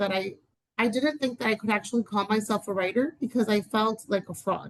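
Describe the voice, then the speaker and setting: At a moderate pace, a woman speaks in a fairly high, somewhat breathy voice with ordinary pitch variation. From Dominican Republic. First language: Spanish. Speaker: writer and educator. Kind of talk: interview conversation. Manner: hesitant, many fillers.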